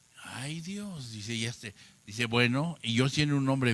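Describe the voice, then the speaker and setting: Bright and sharp in tone, a man's voice sits at a fairly high pitch with ordinary pitch variation. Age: 70s. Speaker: preacher. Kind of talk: sermon.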